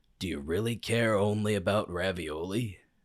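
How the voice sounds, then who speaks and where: In a put-on character voice, a man sounds raspy and fairly low, captured in a very clean recording with a silent background. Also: moderate pace. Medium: read story. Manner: commanding, dry.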